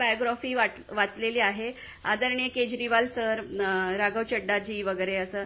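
The voice belongs to a woman. Its pitch moves in an ordinary way. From Maharashtra, Badlapur. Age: young. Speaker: local election candidate and lecturer. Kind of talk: interview.

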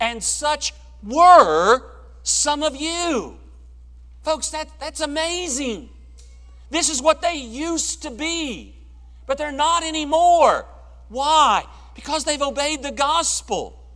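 At a slow pace, a man speaks with extremely high pitch and a fairly bright tone. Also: lively intonation.

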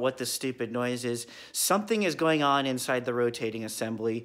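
Against a quiet background, the voice holds a moderate pace. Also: man. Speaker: car hobbyist vlogger. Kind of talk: casual vlog chat. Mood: wry, self-mocking. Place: garage. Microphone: phone near.

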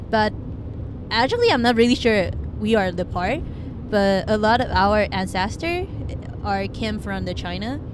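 At a moderate pace, a woman speaks with long, frequent pauses, in dry sound with no echo and noticeable background noise. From Taiwan. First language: Mandarin. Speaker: foreign exchange student. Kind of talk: casual chat. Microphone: handheld.

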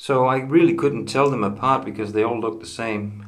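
A man talks with ordinary pitch variation while light background noise plays behind him. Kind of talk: casual show-and-tell tutorial. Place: bathroom. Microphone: phone near.

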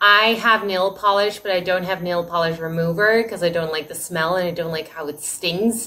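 At a moderate pace and with hardly any pauses, a woman with an American accent speaks in a medium pitch with fairly even intonation. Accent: American accent when speaking Dutch. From United States. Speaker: Dutch language teacher. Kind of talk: casual vlog intro; casual vlog chat. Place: home room. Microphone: phone near.

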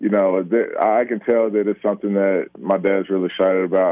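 Speaking at a fairly quick pace, a man with a very deep, low pitch delivers his words in a monotone, flat intonation. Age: 20s. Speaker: professional football player. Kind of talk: interview.

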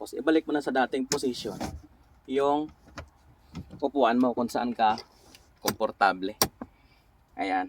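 A man's medium-pitched voice, with ordinary pitch variation, comes at a fairly slow pace in a dry, close sound with no echo. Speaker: vlogger and truck driver. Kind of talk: casual vlog monologue.

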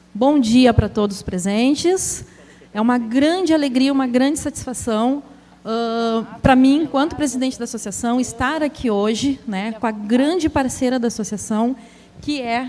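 A woman speaks in a high pitch with a dark, mellow tone. There is light background noise. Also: ordinary pitch variation, moderate pace. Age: 40s. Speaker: association president and specialist on giftedness; presenter. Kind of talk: lecture; public talk, lecture. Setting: stage with audience, livestreamed. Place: stage.

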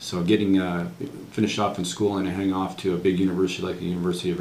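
Very fast speech with fairly even intonation, audible room echo and light background noise. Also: man. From New England, US (Worcester, Massachusetts); Massachusetts. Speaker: retired military officer, veteran. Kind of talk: oral history interview. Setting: university veterans center. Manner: halting, many fillers. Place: office.

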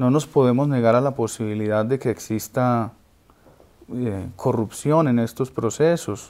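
A man speaks in a dark, mellow tone at a fairly slow pace. His intonation stays fairly even. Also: medium pitch for a man. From Colombia. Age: 30s. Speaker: singer; interview guest. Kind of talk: interview. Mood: calm, serious, reflective. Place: home room.

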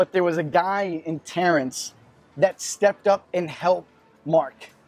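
Faint music plays behind a man with a high voice who speaks fairly slowly. The sound is dry, with no echo. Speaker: student pastor. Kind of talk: sermon. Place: cafe. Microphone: lapel.

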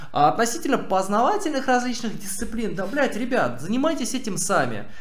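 The speech moves at a fairly quick pace, with audible room echo and light background noise. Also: man. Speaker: streamer. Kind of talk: stream commentary answering chat. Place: home room.

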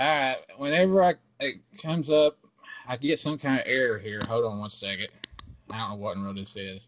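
Talking at a fairly quick pace in an ordinary speaking voice, a man uses lively intonation and big swings in loudness. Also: medium pitch for a man. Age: 20s. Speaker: prank caller baiting a scammer. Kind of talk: prank phone call.

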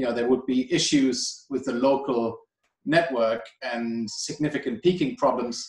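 In a German accent, a man speaks fairly slowly at a medium pitch with ordinary pitch variation, against a quiet background with audible room echo. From Germany. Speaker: energy policy director; guest. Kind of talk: expert interview. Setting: video call. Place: home room. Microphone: video call.

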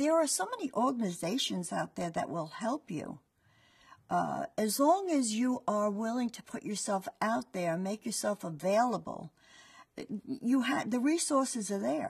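A somewhat breathy woman at a fairly slow pace with very wide pitch swings, against a quiet background. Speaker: franchise owner. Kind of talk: testimonial. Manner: conversational, fillers. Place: studio. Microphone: lapel.

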